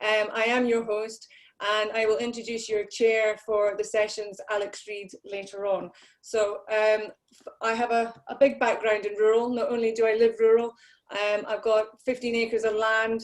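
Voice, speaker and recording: A woman talks at a moderate pace in a fairly high pitch. Her intonation stays flat and monotone. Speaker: conference host. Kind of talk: conference welcome address. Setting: online video conference.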